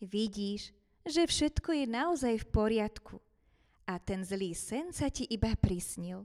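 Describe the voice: Lively intonation throughout plain reading aloud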